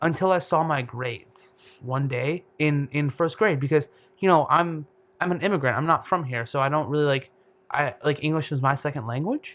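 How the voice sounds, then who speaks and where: A man with a fairly high voice talks at a moderate speed, his pitch moving in an ordinary way. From US Midwest, Detroit suburbs, Michigan. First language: Bengali. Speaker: medical student. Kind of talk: casual chat. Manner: halting.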